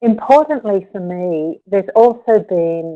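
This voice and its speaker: A woman's dark, mellow voice with an Australian accent, in a dry, close sound with no echo. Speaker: yoga therapist. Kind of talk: webinar presentation. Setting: webinar.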